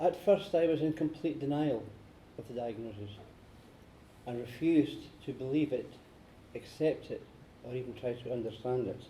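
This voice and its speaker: A man with a Scottish accent, fairly high pitch and ordinary pitch variation, with long, frequent pauses. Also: moderate pace. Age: 60s. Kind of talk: prepared speech.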